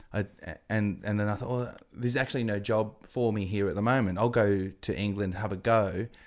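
A man talks at a fairly quick pace with an Australian accent. His pitch is fairly low. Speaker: TV presenter. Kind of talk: casual interview chat. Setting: studio. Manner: animated.

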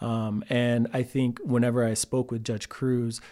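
Speaking in an American accent, a man delivers his words in a flat monotone on a very clean recording with a silent background. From Texas, Austin area and Cameron. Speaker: lawyer. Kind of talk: interview.

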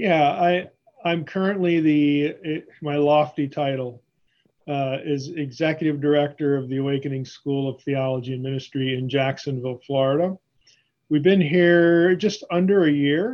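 This is a man with a normal speaking voice, pitched fairly high. He talks at a moderate pace with ordinary pitch variation. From Pennsylvania, US. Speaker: biblical scholar. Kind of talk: interview.

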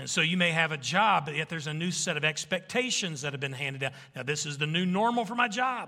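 Talking at a very fast pace, a man uses a fairly high pitch, a bright, sharp tone and lively intonation. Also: hardly any pauses. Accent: Southern US. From Arkansas. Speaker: pastor. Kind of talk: sermon.

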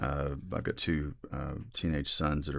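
A man speaks with vocal fry in a very deep, low voice. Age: 40s. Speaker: board gamer and podcast guest. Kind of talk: casual chat.

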